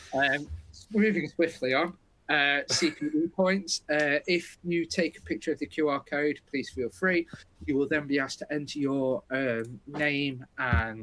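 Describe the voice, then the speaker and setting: Speaking at a fairly slow pace with a British accent, a man has a fairly high pitch, a bright, sharp tone and ordinary pitch variation, in a dry, close sound with no echo. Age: 40s. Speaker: webinar host, software company. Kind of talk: webinar presentation.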